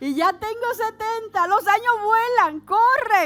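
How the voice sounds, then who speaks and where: With an extremely high pitch, a woman speaks at a fairly slow pace, her tone animated and her intonation lively. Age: 70s. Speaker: pastor. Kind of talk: sermon.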